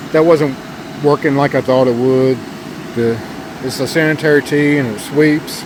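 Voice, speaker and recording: A man's monotone, flat delivery over noticeable background noise. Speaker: giant pumpkin grower, garden vlogger. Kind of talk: casual garden vlog walkthrough. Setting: outdoors in pumpkin patch.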